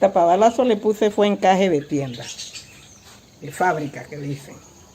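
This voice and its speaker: Against noticeable background noise, a woman speaks at a moderate pace with lively intonation and big swings in loudness. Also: medium pitch for a woman. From Panama, Antón (Coclé). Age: 80s+. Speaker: seamstress and cultural tradition bearer. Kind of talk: interview testimony. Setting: at her home.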